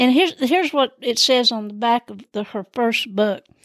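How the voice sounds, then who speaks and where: In a Southern US accent, a woman speaks with a high pitch and ordinary pitch variation, the sound dry and close with no echo in a very clean recording with a silent background. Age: 70s. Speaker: podcast host. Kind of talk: casual storytelling monologue. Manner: animated, laughs often; rambling, many fillers.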